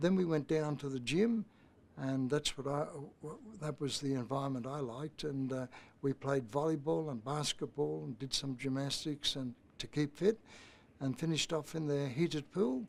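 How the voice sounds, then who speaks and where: With an Australian accent, a man speaks at a moderate pace and a fairly high pitch, using ordinary pitch variation. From Australia, Brisbane. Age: 80s+. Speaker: youth program founder. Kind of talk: interview. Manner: halting, with many fillers.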